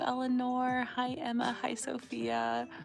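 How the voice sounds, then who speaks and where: A woman speaks very slowly while music plays in the background. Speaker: crochet livestreamer. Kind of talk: casual livestream chat.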